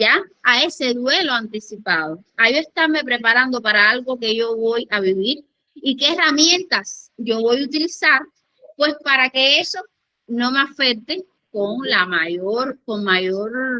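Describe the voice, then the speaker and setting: In a Cuban accent, a woman talks at a high pitch with lively intonation. Her pace is very slow. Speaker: conference speaker, education and grief specialist. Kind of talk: lecture.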